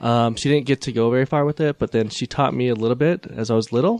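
A man speaks at a very fast pace, and the sound is dry and close with no echo. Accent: Utah. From Utah, US. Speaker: Cambodian dance teacher. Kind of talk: casual chat.

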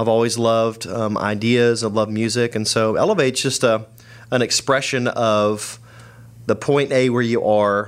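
A man's medium-pitched voice with an American accent, moderate in pace and very even in loudness, on a very clean recording with a silent background. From Atlanta, Georgia, US South. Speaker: event company founder. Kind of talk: interview. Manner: animated.

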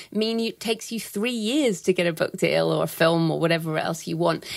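At a fairly quick pace, a woman talks with lively intonation in a normal speaking voice. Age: 40s. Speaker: thriller writer and publishing expert. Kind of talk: interview.

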